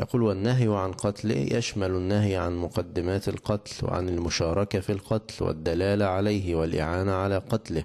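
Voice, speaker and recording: A man speaks at a fairly low pitch and a fairly slow pace, his tone dark and mellow. His intonation stays fairly even over a quiet background. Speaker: religious teacher. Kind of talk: lecture. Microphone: handheld.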